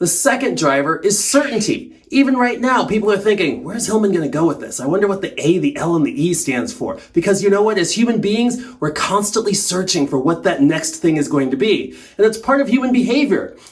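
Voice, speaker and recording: Against noticeable background noise, a man with a high pitch speaks at a fairly quick pace with hardly any pauses. His tone is animated, with very wide pitch swings. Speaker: sales trainer. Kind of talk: tutorial. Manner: fast.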